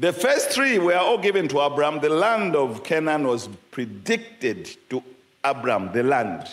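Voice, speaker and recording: Pitched fairly high, a man talks at a very slow pace with very wide pitch swings. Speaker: preacher. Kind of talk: sermon with line-by-line interpreting. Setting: church, live audience. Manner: animated, preacherly, call-and-response with audience; pauses for interpreter. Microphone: handheld.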